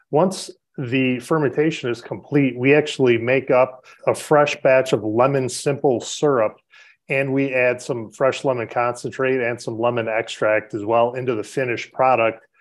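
With an American accent, a man speaks in an unremarkable speaking voice at a medium pitch with fairly even intonation. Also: moderate pace. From Chicago, South Side. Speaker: head brewer. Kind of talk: podcast interview.

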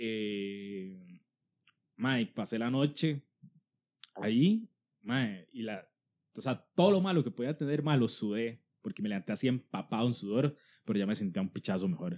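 Speaking with a Costa Rican accent, a man uses lively intonation at a medium pitch and a moderate pace, with long, frequent pauses. The recording is very clean, with a silent background and a dry, close sound with no echo. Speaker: comedian podcast host. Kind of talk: casual chat.

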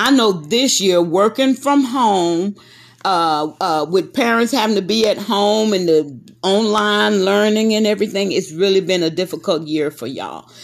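A woman with a Texas accent, medium pitch, lively intonation and a moderate pace. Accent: Texas Southern. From Texas, Corpus Christi. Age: 60s. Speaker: host's mother. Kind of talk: casual chat.

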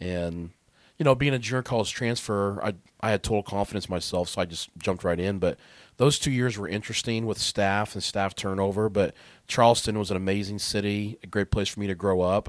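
On a very clean recording with a silent background, a man speaks quickly enough in a fairly low pitch with fairly even intonation. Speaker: athletic training program director. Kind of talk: casual chat.

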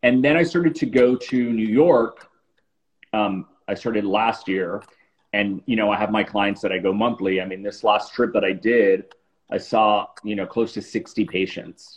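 Using a plain, everyday voice, a man with an American accent speaks at a moderate pace with fairly low pitch and ordinary pitch variation. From Miami, South Florida. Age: 40s. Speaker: celebrity facialist. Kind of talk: casual interview on a livestream.

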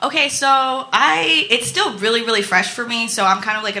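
A woman with lively intonation at a moderate pace, against noticeable background noise. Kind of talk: live stand-up storytelling, confessional and self-deprecating. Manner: nervous, rambling, jittery, self-mocking.

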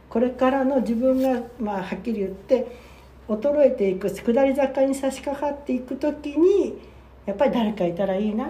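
In a room with audible echo, a woman speaks at a moderate pace in a high voice with lively intonation. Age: 70s. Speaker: podcast co-host, worker at a same-sex partner matchmaking agency. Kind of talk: casual chat.

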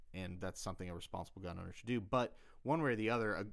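On a very clean recording with a silent background, a man with a Southern US accent talks at a very fast pace and fairly low pitch with ordinary pitch variation. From US South, South Carolina. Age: 20s. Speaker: podcast host. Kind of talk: casual chat.

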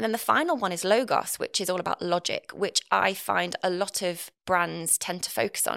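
A woman with an East Midlands accent is heard in a dry, close sound with no echo. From England, Nottinghamshire (East Midlands). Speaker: copywriter and marketer, former journalist. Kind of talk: interview conversation. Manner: fast talker.

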